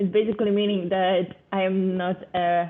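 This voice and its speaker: Speaking with a non-native accent, a woman at medium pitch talks at a fairly slow pace in a monotone, flat intonation. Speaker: artist. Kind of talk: interview. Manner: halting, many fillers.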